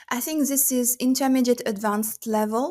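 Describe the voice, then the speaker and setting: The speaker talks at a moderate pace with a non-native accent and ordinary pitch variation. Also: woman. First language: not English. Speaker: crochet content creator. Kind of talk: tutorial-style product roundup. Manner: casual with filler words.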